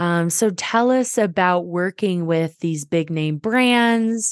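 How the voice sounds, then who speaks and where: A woman's very slow speech with ordinary pitch variation against a quiet background. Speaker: podcast host. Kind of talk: casual interview chat.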